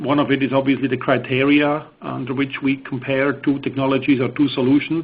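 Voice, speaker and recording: A man with a Swiss accent, fairly high pitch, monotone, flat intonation and hardly any pauses. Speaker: engineering presenter. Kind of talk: technical webinar presentation. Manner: hesitant, many fillers.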